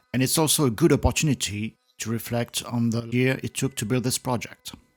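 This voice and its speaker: At a fairly quick pace, a man with a French accent speaks at medium pitch with fairly even intonation. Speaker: woodworker. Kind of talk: woodworking build narration.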